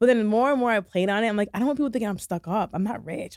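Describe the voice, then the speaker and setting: A woman with an American accent speaks in an animated tone with lively intonation, the sound dry and close with no echo on a very clean recording with a silent background. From Michigan, US Midwest. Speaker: shoe designer and entrepreneur. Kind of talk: casual interview.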